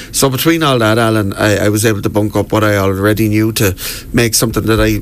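Noticeable background noise sits under a man's fairly low voice. He speaks at a fairly quick pace with fairly even intonation. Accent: Wexford Irish. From Ireland, County Wexford. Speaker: local history tour guide. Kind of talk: radio interview. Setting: radio studio.

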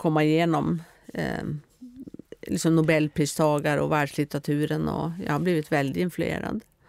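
With a Norwegian accent, a woman speaks at a very deep, low pitch and a moderate pace, her intonation fairly even. She leaves long, frequent pauses. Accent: Norwegian-accented Swedish. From Norway. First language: Norwegian (speaking Swedish). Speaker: author. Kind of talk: interview.

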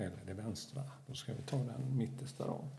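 A man's medium-pitched voice with vocal fry, a dark, mellow tone and a calm, soothing tone at a fairly slow pace. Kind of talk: guided meditation. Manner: slow, soft-spoken, calm and soothing.

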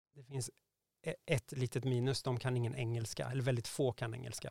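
This man has an unremarkable speaking voice at a medium pitch, with fairly even intonation and a moderate pace. The sound is dry and close, with no echo. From Sweden, Värmland (Degerfors). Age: 40s. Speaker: prospective parent via surrogacy. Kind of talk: interview.

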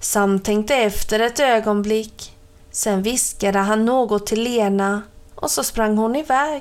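Here the text comes through in a natural reading voice.

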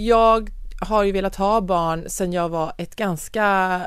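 At a fairly slow pace, a woman talks in a normal speaking voice with ordinary pitch variation. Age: 40s. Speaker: podcast host. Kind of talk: casual chat.

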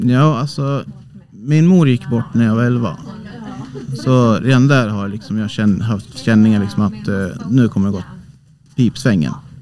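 Amid noticeable background noise, a man with a medium-pitched voice and lively intonation talks at a moderate pace, with long, frequent pauses. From Sweden, Hälsingland (Bollnäs). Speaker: amateur ghost investigator. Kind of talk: casual interview. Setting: small cabin on a cruise ship.

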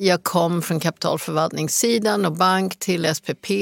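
A woman's fairly low-pitched voice with vocal fry, in a dry, close sound with no echo. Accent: English. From US Rocky Mountains. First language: English (speaking Swedish). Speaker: business executive. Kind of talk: interview.

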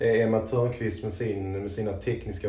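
A man with a fairly low pitch talks in a monotone, flat intonation. Audible room echo surrounds his voice. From Sweden, Landskrona area (Skåne). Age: 30s. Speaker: women's football coach. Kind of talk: casual interview. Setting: locker room.

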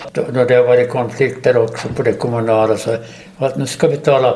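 Fairly even intonation, a moderate pace and a somewhat breathy quality. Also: man. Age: 80s+. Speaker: war veteran and retired teacher. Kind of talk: casual interview. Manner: halting.

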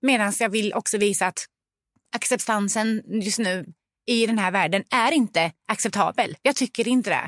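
In an animated tone, a woman talks at a moderate pace with fairly high pitch and ordinary pitch variation. The sound is dry and close with no echo on a very clean recording with a silent background. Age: 40s. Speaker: parent. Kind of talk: casual chat.

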